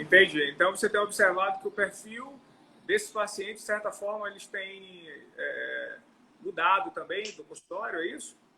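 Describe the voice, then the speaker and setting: A man's loudness swings widely as he talks at a moderate pace against noticeable background noise. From northeastern Brazil. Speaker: longevity medicine doctor. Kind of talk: interview. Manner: halting.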